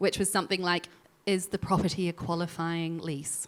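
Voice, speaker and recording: Recorded very cleanly over a silent background, a woman with a New Zealand accent speaks at a moderate pace in a medium pitch with a bright, sharp tone. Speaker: legal tech executive, former lawyer. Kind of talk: panel discussion.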